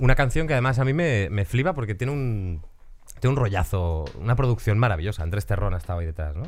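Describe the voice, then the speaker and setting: Racing along at a very fast pace, a man with a fairly low pitch makes very wide pitch swings. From Galicia, Spain. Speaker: podcast host. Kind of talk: casual chat. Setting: studio.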